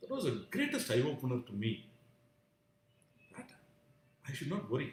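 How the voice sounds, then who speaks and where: A man talks with an Indian accent. His loudness swings widely. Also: moderate pace. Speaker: vlogger sharing personal views. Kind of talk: live stream monologue. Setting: live stream. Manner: halting, many fillers.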